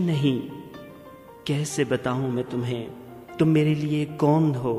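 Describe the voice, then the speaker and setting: Music plays behind a man whose voice sits fairly high. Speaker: radio presenter and poetry reciter. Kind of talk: romantic poetry reading.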